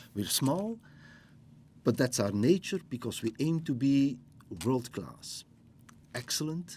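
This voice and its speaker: A man with a Flemish accent talks at a very slow pace, leaving long, frequent pauses. His tone is dark and mellow, his intonation lively, and the recording very clean with a silent background. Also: medium pitch for a man. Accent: Belgian (Flemish) English. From Belgium. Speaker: business school dean. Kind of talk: interview.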